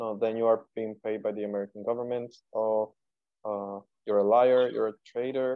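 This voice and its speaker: Speaking with a Spanish accent at a moderate pace, a man keeps a medium pitch and a monotone, flat intonation. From Cuba, Havana. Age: 20s. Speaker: contemporary dancer. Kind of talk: interview.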